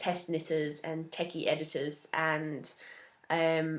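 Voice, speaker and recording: A woman with an English accent and a fairly low pitch speaks at a very slow pace. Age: 20s. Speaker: knitting podcaster. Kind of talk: casual chat.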